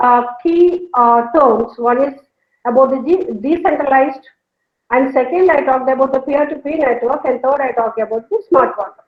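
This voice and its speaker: A woman with a South Indian accent, high-pitched, with ordinary pitch variation. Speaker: professor. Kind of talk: lecture. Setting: online video call. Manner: fast.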